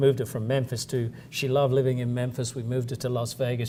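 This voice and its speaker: A man's medium-pitched, somewhat breathy voice with a dark, mellow tone, monotone, flat intonation and a very fast pace. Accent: American. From south-east England (Kent). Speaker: company chief executive. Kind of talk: interview.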